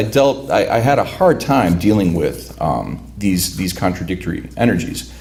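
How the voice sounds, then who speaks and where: Over noticeable background noise and audible room echo, a man with a Chicago accent speaks at a fairly slow pace. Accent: Chicago American English. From Cicero, Illinois (Chicago area), Lithuanian immigrant community. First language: Lithuanian. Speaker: writer. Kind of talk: talk introducing a reading. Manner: halting, many repeated words.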